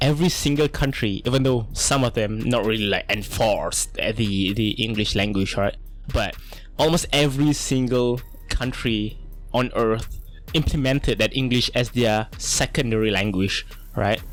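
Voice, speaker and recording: Over music in the background, the speaker has a Malaysian accent, a moderate pace, ordinary pitch variation and very even loudness. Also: man, medium pitch for a man. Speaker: artist and content creator. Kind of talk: unscripted voiceover monologue. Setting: home desk recording. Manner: halting, with many fillers and restarts.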